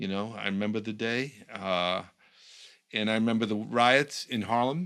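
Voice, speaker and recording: In a very clean recording with a silent background, a man with an American accent speaks in a normal speaking voice at a moderate pace, his fairly low pitch showing ordinary variation. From New York. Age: 60s. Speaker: communications professional, former political speechwriter. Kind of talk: casual conversation.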